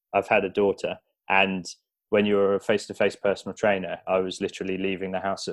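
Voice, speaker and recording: Over a quiet background, the speaker talks very fast in a southern English accent with monotone, flat intonation. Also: man. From southern England, Buckinghamshire. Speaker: online fitness coach. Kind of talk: interview.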